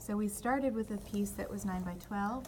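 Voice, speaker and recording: The woman's medium-pitched voice carries audible room echo along with noticeable background noise. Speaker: design instructor. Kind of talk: tutorial.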